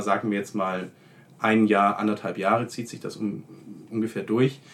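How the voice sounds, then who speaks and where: In a very clean recording with a silent background, a man speaks at a moderate pace. His pitch is medium and his intonation is monotone and flat. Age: 20s. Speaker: law student. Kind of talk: casual interview.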